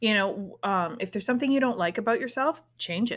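Heard on a very clean recording with a silent background, a woman with a normal speaking voice talks at a fairly high pitch with lively intonation. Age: 40s. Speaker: spiritual podcast host and tarot reader. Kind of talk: casual solo monologue. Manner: casual, with laughs and sighs.

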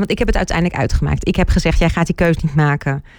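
Speaking fairly quickly, a woman uses an ordinary speaking voice pitched fairly low. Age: 40s. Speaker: relationship coach. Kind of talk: casual interview.

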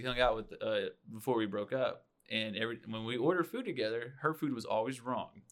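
A man at a medium pitch and a fairly quick pace, in an ordinary speaking voice. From Oklahoma. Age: 30s. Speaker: podcast co-host. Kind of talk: casual chat.

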